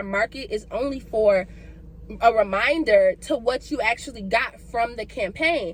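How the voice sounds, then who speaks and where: Noticeable background noise sits behind a woman speaking at a moderate pace. Her tone is animated and her intonation lively. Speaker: ministry founder and vlogger. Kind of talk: casual faith vlog monologue.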